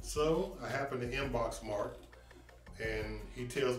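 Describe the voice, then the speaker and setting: Music plays in the background as a man speaks. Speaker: sports recruiter, former athlete. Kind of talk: promotional talk to camera. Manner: enthusiastic, conversational.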